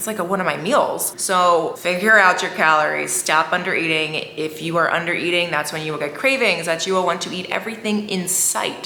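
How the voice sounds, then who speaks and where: A woman's fairly low, animated voice amid noticeable background noise and audible room echo. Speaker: lifestyle vlogger. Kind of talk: casual talking-head vlog.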